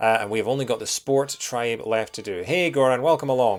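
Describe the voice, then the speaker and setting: This man speaks with a Scottish accent. His pitch is medium, with ordinary variation. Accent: soft Scottish. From Scotland. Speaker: video game streamer. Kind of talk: live gameplay stream commentary. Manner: casual, with many fillers.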